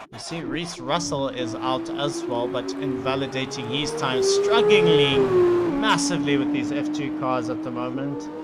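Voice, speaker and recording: A man talks at a fairly slow pace with hardly any pauses. Audible room echo and noticeable background noise fill the recording. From South Africa. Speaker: sim racing commentator. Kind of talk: live commentary.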